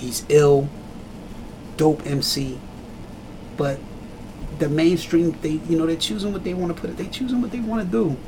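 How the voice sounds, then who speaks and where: Speaking at a moderate pace with a fairly high pitch and lively intonation, a man leaves long, frequent pauses over noticeable background noise. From Trenton, New Jersey. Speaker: hip hop artist. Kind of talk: casual interview.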